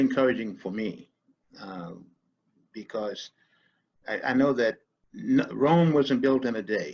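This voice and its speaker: A man is speaking. His pace is fairly slow. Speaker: podcaster, storyteller. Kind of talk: interview answer.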